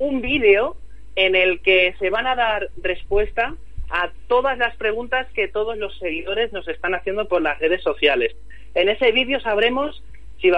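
A man's high-pitched voice with lively intonation. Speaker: TV producer. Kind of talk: interview. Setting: phone call.

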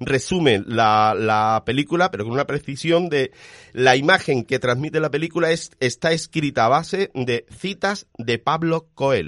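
A man with an unremarkable speaking voice, at a fairly slow pace. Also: fairly high pitch for a man, ordinary pitch variation. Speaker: radio film show host. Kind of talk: radio show, casual panel chat.

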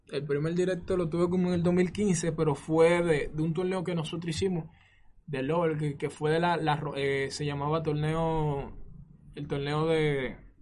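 Speaking at a fairly slow pace in a fairly high pitch, a man keeps a monotone, flat intonation, with audible room echo. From Dominican Republic, San Cristóbal. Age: 20s. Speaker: gamer and streamer. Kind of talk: interview.

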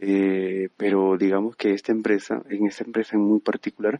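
A man speaks at a fairly low pitch and a fairly slow pace. His intonation is monotone and flat. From Peru. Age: 30s. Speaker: 3D animator. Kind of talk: interview. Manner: halting, many fillers and repetitions.

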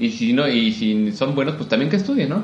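Speaking fairly quickly with a Mexican accent, a man at medium pitch makes very wide pitch swings, with audible room echo and noticeable background noise. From Mexico, Puebla. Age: 30s. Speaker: opera singer. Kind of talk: interview. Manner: halting.

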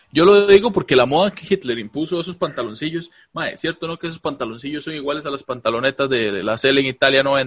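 The sound is dry and close with no echo as a man with a Costa Rican accent speaks in a fairly high voice. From Costa Rica, Alajuela. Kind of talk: casual comedic chat, live-streamed. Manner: animated.

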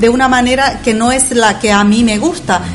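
A woman talks at a fairly quick pace in a fairly high pitch, her intonation monotone and flat, with noticeable background noise behind her. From Bolivia. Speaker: immigration lawyer. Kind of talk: radio panel discussion.

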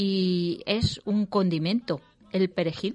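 At a very slow pace, a woman of medium pitch speaks. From Valencia, Spain. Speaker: radio cooking show host. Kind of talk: casual radio chat.

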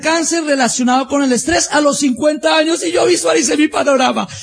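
This man's voice sits extremely high in pitch for a man, shows ordinary pitch variation, and comes with noticeable background noise. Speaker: business motivational speaker. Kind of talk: motivational talk.

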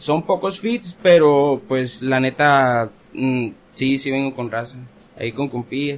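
Very slow in pace, the speech has ordinary pitch variation. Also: man, medium pitch for a man. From Ensenada, Baja California, Mexico. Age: 20s. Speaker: rapper. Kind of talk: casual chat. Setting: studio.

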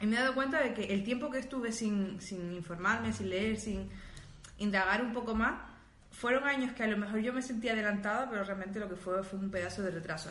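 Audible room echo surrounds a woman speaking at a fairly quick pace. Her pitch is medium, with ordinary variation. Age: 20s. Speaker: podcast co-host. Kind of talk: casual chat. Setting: live stream.

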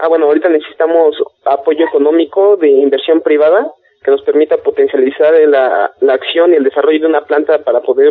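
Speaking at a fairly quick pace, a man keeps his loudness very even. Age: 20s. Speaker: engineer, inventor. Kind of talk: interview.

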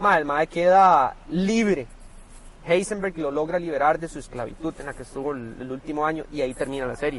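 Talking at a moderate pace, a man uses a fairly high pitch with ordinary pitch variation and big swings in loudness. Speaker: podcast host. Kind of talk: casual chat. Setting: parked car.

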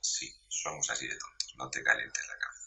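A man at a moderate pace. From Spain, Murcia. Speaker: social media commentator on agriculture. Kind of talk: casual interview.

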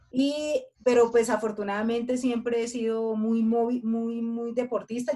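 Somewhat breathy, the woman's voice sits at a fairly high pitch with a dark, mellow tone. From Colombia. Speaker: podcast co-host. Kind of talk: casual chat.

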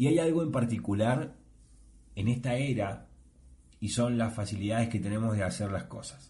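With a dark, mellow tone and a somewhat breathy quality, a man speaks through audible room echo, leaving long, frequent pauses. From Argentina. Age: 30s. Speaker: podcast host. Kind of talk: solo monologue podcast.

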